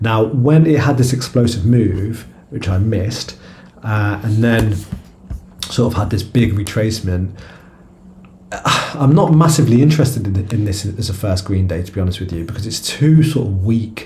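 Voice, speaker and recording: A man with a British accent speaks at a moderate pace, with long, frequent pauses. Audible room echo and noticeable background noise surround him. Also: medium pitch for a man, ordinary pitch variation. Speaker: stock trader and video creator. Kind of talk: trading chart review. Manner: halting, many fillers and repeated words; casual.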